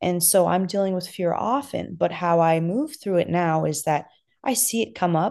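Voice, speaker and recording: Speaking at a moderate pace, a woman uses lively intonation at a fairly low pitch. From Los Angeles, US. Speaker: mindfulness and wellness coach. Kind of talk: interview conversation.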